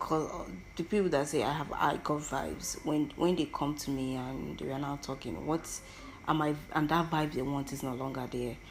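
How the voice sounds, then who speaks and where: A woman with a very deep, low pitch at a moderate pace, with audible room echo. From Nigeria, Igbo-speaking southeast. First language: Igbo. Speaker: podcaster. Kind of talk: personal monologue. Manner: halting, with many self-corrections; animated, theatrical.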